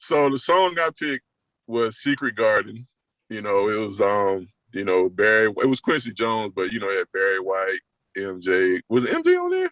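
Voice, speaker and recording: Relaxed in tone, a man with a Southern US accent and a fairly low pitch speaks at a moderate pace, the sound dry and close with no echo. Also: ordinary pitch variation. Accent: Southern accent, still noticeable. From US South, South Carolina (Florence). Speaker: guest on a music podcast, music fan. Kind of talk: casual chat. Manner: relaxed, conversational.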